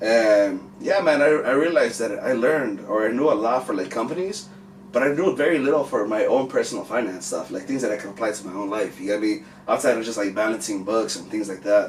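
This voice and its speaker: A man with an American accent speaks at a medium pitch and a fairly quick pace, his intonation lively, with noticeable background noise. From Mexican American household, US. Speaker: music manager and finance educator. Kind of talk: casual chat.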